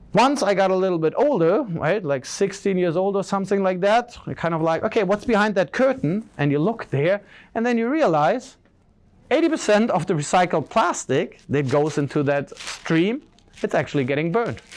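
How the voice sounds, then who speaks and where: With a German accent, a man talks at a high pitch with very wide pitch swings on a very clean recording with a silent background. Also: moderate pace. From Germany. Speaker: social entrepreneur, keynote speaker. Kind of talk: keynote speech. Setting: stage with audience. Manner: casual, filler-heavy.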